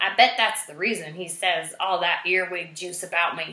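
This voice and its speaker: A woman speaks in a gruff, put-on character voice. Her pace is moderate. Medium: read story. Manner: gruff, blustering.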